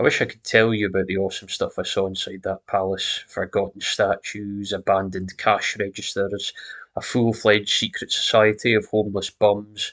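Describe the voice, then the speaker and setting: A man talks with a Scottish accent. The background is quiet. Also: moderate pace. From Scotland. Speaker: horror story narrator. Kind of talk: horror story reading.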